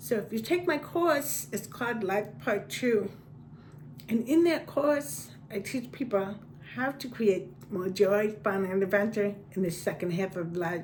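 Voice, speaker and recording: Audible room echo around a woman of medium pitch, fairly slow in pace, with very wide pitch swings. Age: 60s. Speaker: passion mentor and manifestation coach. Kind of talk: personal vlog talk.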